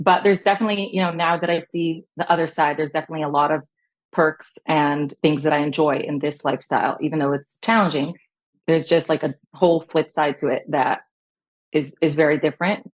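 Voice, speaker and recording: A woman with a Californian accent, a fairly low pitch, fairly even intonation and a fairly quick pace. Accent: Californian American English. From Long Beach, California. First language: Hebrew. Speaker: educator and fashion business owner. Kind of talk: podcast interview.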